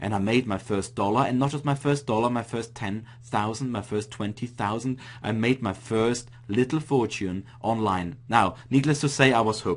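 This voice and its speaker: With an Austrian accent, a man talks at a moderate pace and with ordinary pitch variation. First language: German. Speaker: online marketing coach. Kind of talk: webinar presentation.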